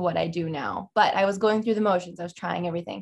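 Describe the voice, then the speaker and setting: Speaking in an unremarkable speaking voice, a woman keeps her medium pitch and fairly even intonation. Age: 20s. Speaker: artist. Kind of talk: interview conversation. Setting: podcast studio.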